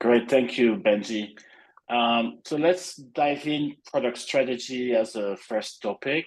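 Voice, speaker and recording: Very slowly, a man speaks at a medium pitch. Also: ordinary pitch variation. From France. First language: French. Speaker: product executive. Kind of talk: webinar presentation.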